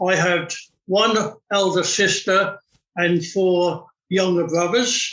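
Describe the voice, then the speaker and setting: Speaking in a southern English accent, a man holds a high pitch in a monotone, flat intonation. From southern England, West Sussex. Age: 80s+. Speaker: retired bomb disposal expert. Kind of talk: interview conversation. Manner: halting.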